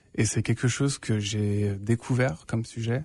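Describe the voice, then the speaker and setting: A man speaks at a medium pitch and a fairly slow pace, his dark, mellow tone somewhat breathy, with fairly even intonation over a quiet background. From France. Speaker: radio host. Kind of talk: radio interview. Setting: radio studio. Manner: nervous, first time hosting.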